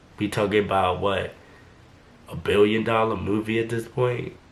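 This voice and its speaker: Audible room echo around a man speaking at a fairly slow pace. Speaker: YouTuber, translator. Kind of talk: casual vlog commentary.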